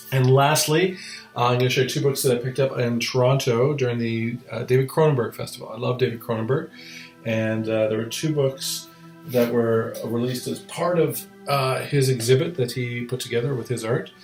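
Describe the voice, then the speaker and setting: Over music in the background, a man mumbles at medium pitch and a fairly quick pace. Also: ordinary pitch variation. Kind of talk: casual talk to camera. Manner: mumbly, hesitant.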